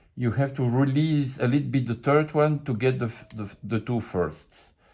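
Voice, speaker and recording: Over a silent background in a very clean recording, a man with a French accent speaks at a moderate pace in a medium-pitched, dark, mellow, somewhat breathy voice with ordinary pitch variation. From France. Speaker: lockpicking hobbyist. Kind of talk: tutorial. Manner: halting.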